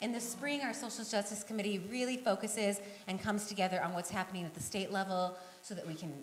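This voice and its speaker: Over noticeable background noise and audible room echo, a woman with an American accent talks at a very fast pace and a fairly high pitch. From western Nebraska. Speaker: kindergarten teacher and peace group volunteer. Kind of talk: conference talk.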